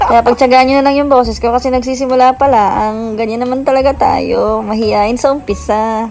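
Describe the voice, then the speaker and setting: Over music in the background, a woman with a high voice speaks at a fairly quick pace. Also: hardly any pauses. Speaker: vlogger. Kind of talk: travel vlog narration. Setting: outdoors at crowded light display. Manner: altered, imitating vlogger tone.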